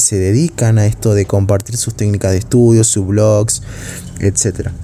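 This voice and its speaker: The man's voice is fairly low, with a dark, mellow tone. He speaks at a fairly slow pace with fairly even intonation. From Argentina, Salta. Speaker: university student podcaster. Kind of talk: casual monologue. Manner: hesitant, with filler sounds.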